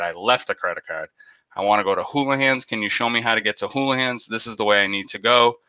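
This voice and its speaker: Talking at a very fast pace, a man with a Boston accent speaks at a medium pitch. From Boston area. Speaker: aquarium YouTuber. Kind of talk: live stream chat, storytelling. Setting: live stream. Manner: animated.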